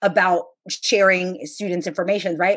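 A woman with a plain, everyday voice, medium pitch and a fairly quick pace over a quiet background. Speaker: podcast host and HSI researcher. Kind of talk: interview conversation.

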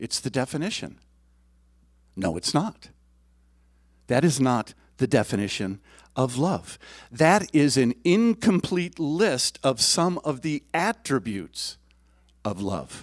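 A man's fairly high voice with vocal fry and very wide pitch swings, at a very slow pace with long, frequent pauses, dry and close with no echo, on a very clean recording with a silent background. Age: 60s. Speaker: lay preacher, church board member. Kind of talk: sermon. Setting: church service with congregation.

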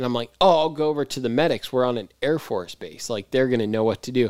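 A man's unremarkable speaking voice at medium pitch with ordinary pitch variation, dry and close with no echo, in a very clean recording with a silent background. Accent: American. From California, grew up near L.A. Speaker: freestyle motocross rider. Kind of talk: casual chat.

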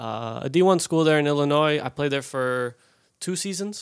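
Speaking with an American accent at a moderate pace, a man has a normal speaking voice and ordinary pitch variation on a very clean recording with a silent background. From Colorado, US. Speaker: professional soccer player. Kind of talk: casual chat. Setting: studio.

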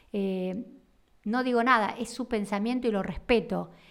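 Delivery is at a moderate pace with ordinary pitch variation. The recording is very clean and the background silent. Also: woman. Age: 50s. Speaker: therapist and podcast host. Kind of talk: monologue podcast. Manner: halting.

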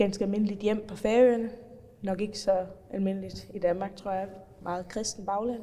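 Noticeable background noise and audible room echo accompany a woman talking at a moderate pace. Her intonation is monotone and flat. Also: medium pitch for a woman. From Faroe Islands. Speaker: politician. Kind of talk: interview.

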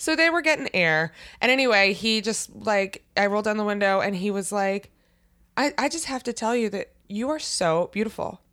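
A woman with an American accent speaks in a bright, sharp tone with lively intonation. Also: medium pitch for a woman, moderate pace. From US Mid-Atlantic, Maryland near Baltimore. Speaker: podcast co-host. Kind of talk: casual chat.

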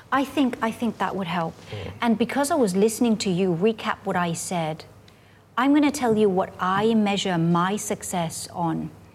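A woman talks at a moderate pace in a somewhat breathy voice. Her pitch is medium, and her intonation is lively. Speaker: university lecturer. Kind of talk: casual interview chat.

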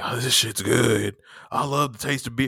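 A man speaks at a medium pitch. He is using a put-on character voice. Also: moderate pace. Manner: mocking.

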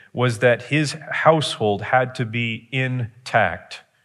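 Music in the background beneath a voice with ordinary pitch variation. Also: man. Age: 40s. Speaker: pastor. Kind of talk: sermon. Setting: church.

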